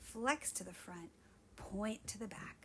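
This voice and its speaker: Somewhat breathy and fairly high-pitched, a woman speaks at a very slow pace. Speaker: Pilates instructor. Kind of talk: guided workout instruction.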